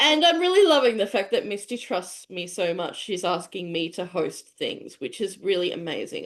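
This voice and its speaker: Barely pausing, a woman with an Australian accent speaks at a moderate pace. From Tasmania, Australia. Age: 30s. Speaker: business professional. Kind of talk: casual chat.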